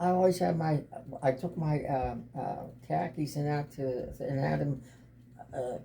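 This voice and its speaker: Fairly slow delivery with long, frequent pauses over noticeable background noise. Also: man, fairly high pitch for a man, ordinary pitch variation. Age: 80s+. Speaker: grandfather and military veteran. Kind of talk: family interview, reminiscing. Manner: halting, repetitive.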